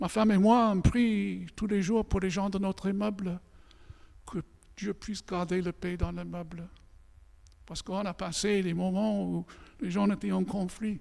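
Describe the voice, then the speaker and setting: A man's high-pitched voice with a dark, mellow tone, fairly even intonation, a fairly slow pace and long, frequent pauses. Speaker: pastor. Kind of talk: sermon.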